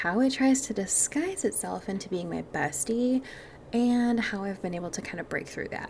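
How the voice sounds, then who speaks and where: This woman's voice sits fairly high and has lively intonation. She talks at a moderate pace with noticeable background noise. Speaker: mindset and manifestation podcast host. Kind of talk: podcast monologue. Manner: casual, chatty.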